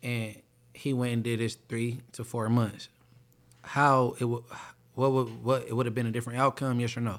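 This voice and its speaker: On a very clean recording with a silent background, a man talks at a moderate pace and medium pitch. His intonation is monotone and flat, with long, frequent pauses. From Inglewood, Los Angeles. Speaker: podcast host. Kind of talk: casual chat. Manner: stammering, repeats words.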